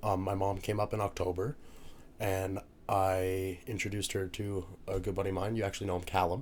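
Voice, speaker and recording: Speaking at a fairly quick pace, a man with a very deep, low pitch keeps his loudness very even and his intonation monotone and flat. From Newfoundland, Canada. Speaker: university student, rugby player. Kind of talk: casual podcast interview. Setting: podcast recording, drinking margaritas.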